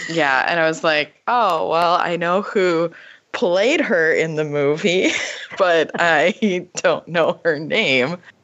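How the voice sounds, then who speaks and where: In an American accent, a woman with a fairly low voice talks very slowly, her pitch varying in an ordinary way. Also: very even loudness. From Minnesota. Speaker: English teacher, trivia player. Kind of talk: casual chat.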